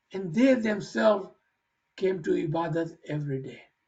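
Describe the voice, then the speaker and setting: The speaker goes at a fairly slow pace. The intonation is lively. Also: man. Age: 50s. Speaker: religious speaker answering questions. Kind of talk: religious Q&A session. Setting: conference call.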